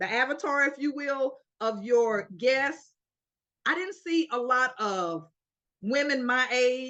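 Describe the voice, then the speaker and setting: The speaker has an American accent, a raised, projected voice and a bright, sharp, energetic tone. The pace is fairly slow and the intonation lively. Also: woman. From Florida, US. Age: 60s. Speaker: interview guest sharing health story. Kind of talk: interview. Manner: energetic, encouraging.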